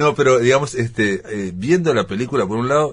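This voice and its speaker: A man talks with lively intonation. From Uruguay. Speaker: TV program host. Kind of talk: interview. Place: studio. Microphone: studio mic.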